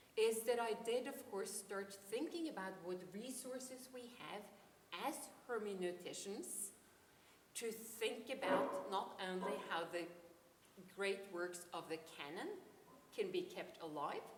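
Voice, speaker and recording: Amid audible room echo and noticeable background noise, a woman with a Norwegian accent speaks at a fairly slow pace in a medium pitch, leaving long, frequent pauses. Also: lively intonation. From Norway, Oslo. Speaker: philosophy professor. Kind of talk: academic conference talk. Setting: conference. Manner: hesitant, many ums.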